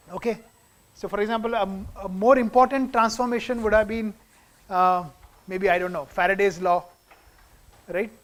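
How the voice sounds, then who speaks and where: A man speaks at a high pitch with ordinary pitch variation. He leaves long, frequent pauses. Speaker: physics lecturer. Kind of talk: lecture. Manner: fast.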